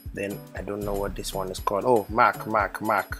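Music plays in the background as a man with a fairly low pitch speaks. His tone is playful and his pace moderate. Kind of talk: comedic voiceover narrating a makeup tutorial. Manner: playful, joking.

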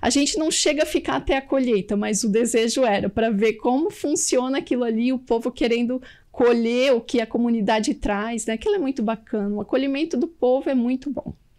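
A woman's high-pitched voice at a moderate pace, with ordinary pitch variation and a quiet background. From Blumenau, southern Brazil; Santa Catarina, Brazil. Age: 40s. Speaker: textile worker and festival princess; guest. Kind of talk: TV interview. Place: studio. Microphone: studio mic.

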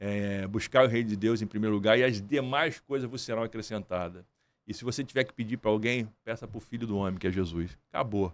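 In an animated tone, a man with a fairly low voice talks at a fairly quick pace with ordinary pitch variation. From Brazil, Nova Iguaçu (Baixada Fluminense, Rio de Janeiro); Rio de Janeiro, Brazil. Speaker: entrepreneur and music promoter; podcast guest. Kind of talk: interview. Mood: earnest, faith-driven. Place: studio. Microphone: studio mic.

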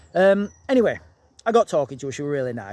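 A man talking at a very fast pace, dry sound with no echo. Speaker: vlogger. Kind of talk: casual vlog chat, storytelling. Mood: animated, amused. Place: garden. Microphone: phone near.

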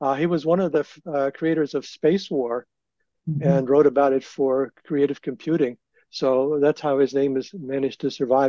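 Over a quiet background, a dark, mellow voice with an American accent keeps a fairly even intonation. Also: man, fairly high pitch for a man, moderate pace, dry sound with no echo. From Northern Virginia. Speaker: fan historian panelist; panelist. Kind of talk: panel discussion. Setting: video call. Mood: relaxed, reminiscing. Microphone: video call.

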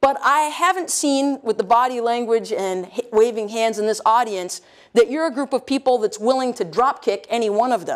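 Speaking at a moderate pace with lively intonation, the voice carries an American accent over a quiet background. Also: woman, fairly high pitch for a woman. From US South, North Carolina. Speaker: energy policy expert; lecturer. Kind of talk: lecture. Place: hall. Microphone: lapel.

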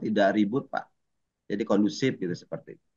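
A man's voice over a quiet background. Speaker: teacher acting as coachee. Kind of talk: coaching role-play. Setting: video call. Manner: halting, many fillers. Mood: calm, reflective. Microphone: video call.

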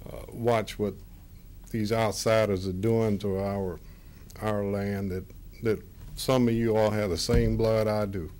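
A man with an American accent and a fairly low pitch, at a fairly slow pace with long, frequent pauses, in a monotone, flat intonation, with audible room echo. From US South, Florida Gulf Coast. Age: 60s. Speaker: local resident speaking at public comment. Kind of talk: public comment at county meeting. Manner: halting, repeats words.

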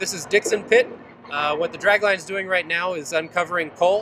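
Over noticeable background noise, a high-pitched man talks at a fairly quick pace in a dry sound with no echo. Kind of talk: interview answer. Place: open country.

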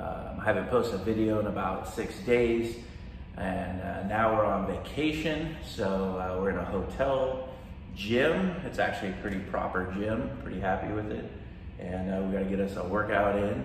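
A man is talking over light background noise. Room echo is audible. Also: fairly low pitch for a man, moderate pace. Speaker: fitness vlogger. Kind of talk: casual vlog chat. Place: gym. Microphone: phone near.

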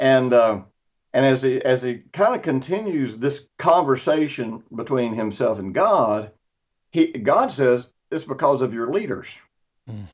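Lively intonation from a man at a moderate pace, quiet background. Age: 60s. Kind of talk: casual chat. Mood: earnest, teaching. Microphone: video call.

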